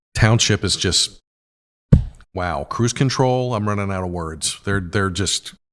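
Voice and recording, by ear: A raspy, fairly bright tone at a fairly slow pace, with ordinary pitch variation and a very clean recording over a silent background. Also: man, low pitch for a man.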